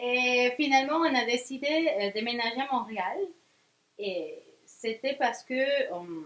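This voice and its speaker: A woman with a high pitch speaks at a very slow pace. Her intonation is lively, broken by long, frequent pauses. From Venezuela. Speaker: magazine founder, journalist. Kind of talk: interview. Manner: halting, many hesitations.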